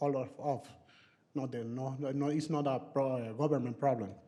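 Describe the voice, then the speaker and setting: A man with a Spanish accent and a dark, mellow tone speaks at a medium pitch and a moderate pace. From Venezuela. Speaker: resident giving public comment. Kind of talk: public comment. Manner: halting.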